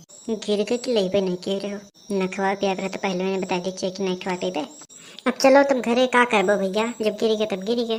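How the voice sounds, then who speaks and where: In a cartoonish character voice, a female-sounding speaker talks at a fairly quick pace and medium pitch. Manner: chatty, complaining.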